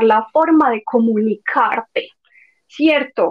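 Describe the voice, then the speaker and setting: Speaking at a very slow pace, a woman with a Medellín accent uses a high pitch with ordinary pitch variation. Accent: paisa (Medellín). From Medellín, Colombia. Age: 20s. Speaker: former au pair. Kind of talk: interview.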